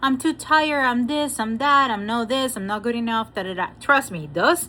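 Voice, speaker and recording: A woman speaks with a Spanish accent at a fairly high pitch. Her tone is bright and sharp. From Venezuela. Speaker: spiritual coach and Reiki master. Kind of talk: motivational talk with oracle card reading. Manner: animated, repetitive emphasis.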